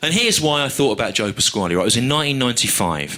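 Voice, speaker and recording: With an English accent, a man speaks in a bright, sharp tone and lively intonation. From England. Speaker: stand-up comedian. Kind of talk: live stand-up routine. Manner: dry, analytical.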